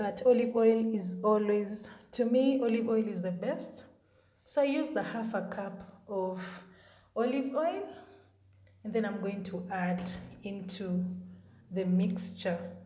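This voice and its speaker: A woman's medium-pitched, somewhat breathy voice, dark and mellow in tone, at a fairly slow pace with long, frequent pauses, ordinary pitch variation and audible room echo. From Kenya. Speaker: beauty content creator. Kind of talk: tutorial. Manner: casual, chatty.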